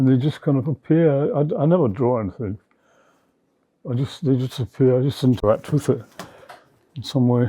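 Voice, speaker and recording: In a very clean recording with a silent background, a man with a dark, mellow tone and medium pitch talks at a fairly quick pace, with ordinary pitch variation and long, frequent pauses. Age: 80s+. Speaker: sculptor and painter. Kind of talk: interview answer. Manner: reflective, hesitant.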